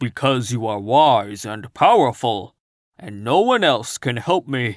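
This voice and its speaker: A man's put-on, growling character voice at medium pitch, fairly slow and with lively intonation, big swings in loudness, dry and close with no echo on a very clean recording with a silent background. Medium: read story. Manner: humble, earnest.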